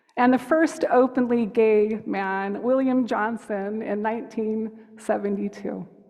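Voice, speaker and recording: A woman's fairly high-pitched voice with an American accent, a fairly slow pace and fairly even intonation. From United States. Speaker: hospice chaplain. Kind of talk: sermon. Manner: gentle, open-hearted.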